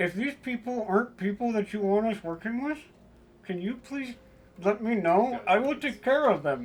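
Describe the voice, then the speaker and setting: The voice is a put-on character voice, fairly high in pitch. It moves at a moderate pace. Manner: prayerful.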